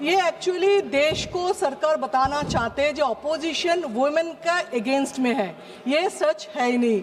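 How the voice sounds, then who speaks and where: Over noticeable background noise, a woman speaks at a high pitch with lively intonation and very even loudness. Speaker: member of parliament. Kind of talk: parliamentary speech, political debate. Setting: parliament hall.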